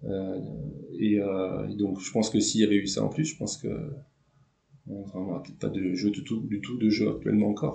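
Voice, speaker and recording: A man's fairly low voice with vocal fry, a dark, mellow tone and a moderate pace. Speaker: former canoe slalom champion. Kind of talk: interview. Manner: halting, many fillers.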